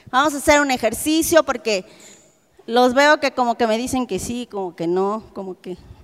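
With a Mexican accent, a woman with high pitch speaks with lively intonation and big swings in loudness, in a dry, close sound with no echo. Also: moderate pace. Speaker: preacher. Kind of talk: sermon.

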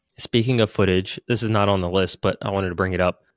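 In a very clean recording with a silent background, a man with an unremarkable speaking voice speaks at a fairly low pitch, the sound dry and close with no echo. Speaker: podcast co-host. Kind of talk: casual chat.

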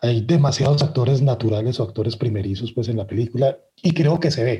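His tone is dark and mellow, and somewhat breathy. The man speaks at a moderate pace with lively intonation. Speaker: film podcast guest. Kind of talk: casual chat.

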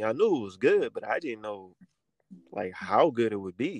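A man with an American accent talks at a fairly quick pace, the sound dry and close with no echo. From Brooklyn, New York. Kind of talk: casual interview. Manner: animated.

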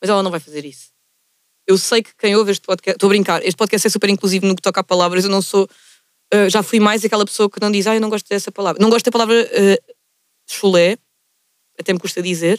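A woman with a Lisbon accent speaks at a very fast pace in an animated, medium-pitched voice, broken by long, frequent pauses, with a dry, close sound and no echo. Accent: European Portuguese, Lisbon. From Portugal, Lisbon area (Margem Sul). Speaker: podcast host. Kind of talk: casual chat.

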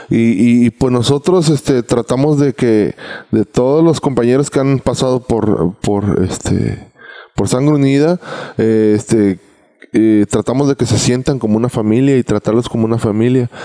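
Over noticeable background noise, a man talks at a moderate pace with ordinary pitch variation and very even loudness, the sound dry and close with no echo. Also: medium pitch for a man. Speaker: reggae singer. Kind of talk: casual chat. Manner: halting.

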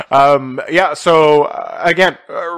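Noticeable background noise sits under this recording. A man speaks with a fairly high pitch. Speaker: podcast host. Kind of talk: casual chat. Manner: low energy. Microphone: new mic.

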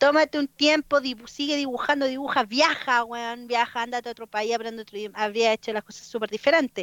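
A woman with a Chilean accent speaks at a fairly quick pace and a high pitch, with hardly any pauses. Her intonation is fairly even, her loudness swings widely, and the sound is dry and close with no echo. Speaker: illustrator and street artist. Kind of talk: casual chat.

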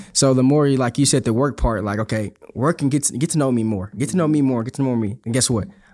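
On a very clean recording with a silent background, a man speaks with an American accent in a dark, mellow tone. He talks at a very fast pace with hardly any pauses, at medium pitch with ordinary pitch variation. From Houston, Texas. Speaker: university resident director, former college basketball player. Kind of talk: casual faith-based podcast chat.

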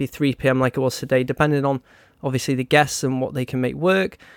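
The sound is dry and close with no echo as a man speaks with a British accent. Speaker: podcast host. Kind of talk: casual chat. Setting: live online call.

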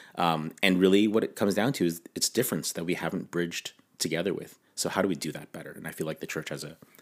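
Talking at a very fast pace with a Canadian accent, a man with a very deep, low pitch shows ordinary pitch variation and big swings in loudness. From Canada. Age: 40s. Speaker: intercultural ministry director and pastor. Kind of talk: interview conversation.

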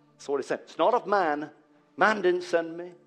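A man with a high pitch speaks at a moderate pace, his pitch varying in an ordinary way. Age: 40s. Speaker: pastor. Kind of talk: sermon. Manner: animated.

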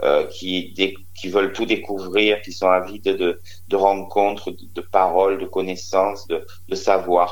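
The speaker is a man who goes rather slowly. His volume rises and falls sharply. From Marseille, southern France. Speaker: comedian, drag cabaret artist. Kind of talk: phone interview.

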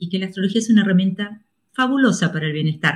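This is a woman talking. A somewhat breathy quality runs through her voice. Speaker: astrologer. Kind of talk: interview.

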